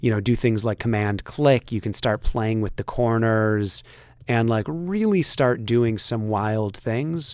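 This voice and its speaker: This man has a plain, everyday voice, fairly low in pitch with ordinary pitch variation. He speaks at a fairly slow pace. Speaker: software tutorial instructor. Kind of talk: tutorial. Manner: casual with many fillers.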